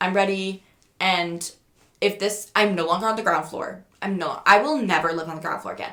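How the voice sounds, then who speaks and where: A woman's medium-pitched, animated voice at a moderate pace, with ordinary pitch variation. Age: 20s. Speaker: podcaster. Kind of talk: casual storytelling. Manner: loud.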